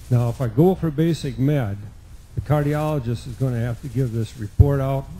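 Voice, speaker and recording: Ordinary pitch variation runs through a man's dark, mellow tone, which is somewhat breathy. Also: medium pitch for a man, moderate pace, big swings in loudness. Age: 70s. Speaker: pilot in audience. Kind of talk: audience question.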